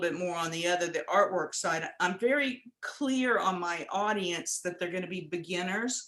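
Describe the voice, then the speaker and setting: A woman speaks in a normal speaking voice. Her pace is moderate, with ordinary pitch variation. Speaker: astrology and hand analysis teacher. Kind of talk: casual chat. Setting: video call.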